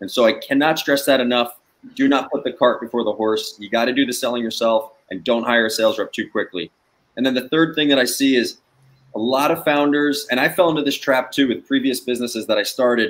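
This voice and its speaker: Talking at a very fast pace, a man with a New Jersey accent uses ordinary pitch variation. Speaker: sales trainer and startup founder. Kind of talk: guest interview on a live webcast. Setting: video call. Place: home room.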